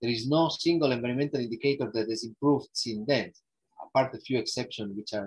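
A man with an Italian accent talks at a very fast pace, somewhat breathy, with ordinary pitch variation and a quiet background. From northern Italy, Alps. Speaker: ecological economics researcher; guest lecturer. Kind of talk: lecture. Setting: video call. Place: home room. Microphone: earbuds.

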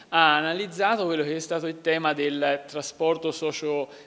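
A man's speech at a moderate pace. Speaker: regional councillor. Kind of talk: interview answer. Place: hall.

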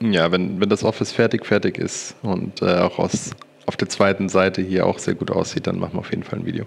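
A man with a very deep, low pitch talks at a fairly quick pace with fairly even intonation. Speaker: esports media staffer. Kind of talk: casual livestream chat. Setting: voice chat. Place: office.

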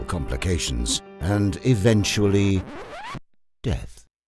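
Background music plays throughout. Over it, a man talks with a very deep, low pitch. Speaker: voice actor. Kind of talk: documentary narration.

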